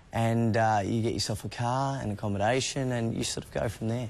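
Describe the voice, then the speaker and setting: A man with an Australian accent talks fairly quickly at a medium pitch, his intonation monotone and flat. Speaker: actor. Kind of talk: TV interview.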